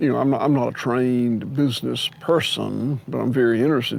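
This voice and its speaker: A man with a Southern US accent at a moderate pace, over noticeable background noise. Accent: Southern US (Georgia). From US South, Georgia. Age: 60s. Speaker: farmer. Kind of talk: interview conversation.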